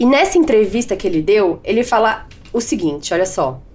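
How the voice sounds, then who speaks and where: Using a normal speaking voice, a woman talks at a fairly slow pace in a fairly high pitch. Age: 20s. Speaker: podcast host. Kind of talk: solo podcast monologue. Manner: casual.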